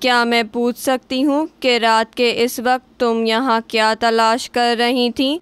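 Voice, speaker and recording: This is a cartoonish character voice that sounds female. It is pitched high. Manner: measured, quietly probing.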